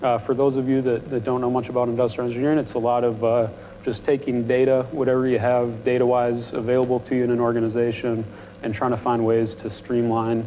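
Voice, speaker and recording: Amid noticeable background noise and audible room echo, a man with an American accent talks at a fairly quick pace in a monotone, flat intonation. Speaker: panel speaker, industrial engineer. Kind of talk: panel talk to students. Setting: university event with audience. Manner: prone to mumbling.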